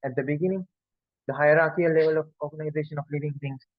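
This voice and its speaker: Speaking at a very fast pace, a man with a fairly high pitch keeps his intonation fairly even. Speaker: biology lecturer. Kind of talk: lecture. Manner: repetitive.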